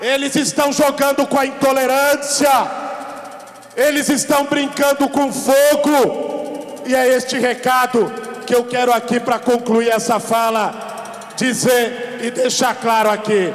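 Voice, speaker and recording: Speaking at a very slow pace, a man keeps his intonation fairly even and his loudness very even, with audible room echo in the recording. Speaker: speaker. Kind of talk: political speech. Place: street.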